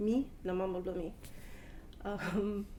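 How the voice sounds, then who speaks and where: There is audible room echo around a woman speaking with a Papua New Guinean accent. Her voice sits at a medium pitch with a dark, mellow tone. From Papua New Guinea, Port Moresby. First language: Tawala. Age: 30s. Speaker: language speaker interviewee. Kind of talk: personal account in Tok Pisin. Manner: halting, many fillers.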